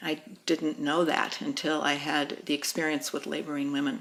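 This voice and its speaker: A woman with a very deep, low pitch talks at a moderate pace amid noticeable background noise. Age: 60s. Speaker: midwife. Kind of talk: interview testimony. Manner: halting, many fillers.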